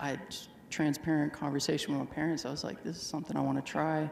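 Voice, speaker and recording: Very fast and monotone with flat intonation, the speech carries audible room echo and light background noise. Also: man. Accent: American. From Texas. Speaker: jockey; interviewee. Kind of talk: live interview with audience. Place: stadium. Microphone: handheld.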